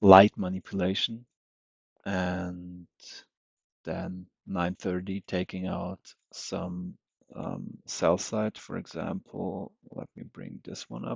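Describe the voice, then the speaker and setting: In a very deep, low voice, a man talks very slowly with long, frequent pauses, a flat, monotone intonation and big swings in loudness, the sound dry and close with no echo against a quiet background. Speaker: day trader streamer. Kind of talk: live trading commentary. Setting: livestream. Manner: halting. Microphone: unstable connection.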